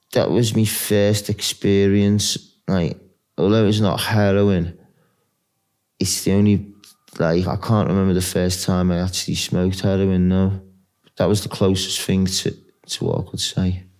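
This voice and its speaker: A man's very deep, low voice with a Merseyside accent, monotone, flat intonation and a fairly slow pace. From Wirral, North West England. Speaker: homeless heroin addict. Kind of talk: interview answer. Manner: hesitant.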